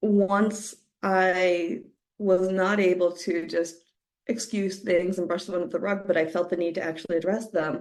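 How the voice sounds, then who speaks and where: An unremarkable speaking voice from a woman at medium pitch, at a fairly slow pace. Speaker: podcast host. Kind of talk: personal podcast monologue.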